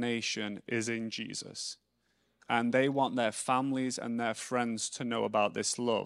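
Recorded very cleanly against a silent background, with a dry, close sound and no echo, a man with an English accent speaks at a fairly slow pace in a medium pitch. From England. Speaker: missionary speaker. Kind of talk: sermon. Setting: church.

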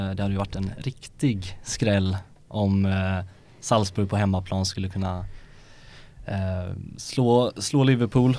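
Over a silent background in a very clean recording, a man with a fairly low pitch and a dark, mellow tone talks at a very slow pace with fairly even intonation and long, frequent pauses. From Sweden, Lerum near Gothenburg. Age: 20s. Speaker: journalism student. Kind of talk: casual chat. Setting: studio.

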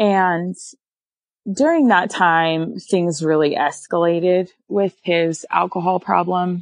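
A woman with a slight northern US accent, a fairly low pitch and a very slow pace. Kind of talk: casual interview, personal storytelling.

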